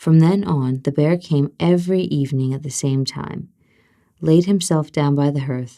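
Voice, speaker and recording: Soft-spoken, a woman talks at a moderate pace with a very deep, low pitch and ordinary pitch variation. Her tone is dark and mellow. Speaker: ASMR storyteller. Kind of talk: bedtime fairy tale reading.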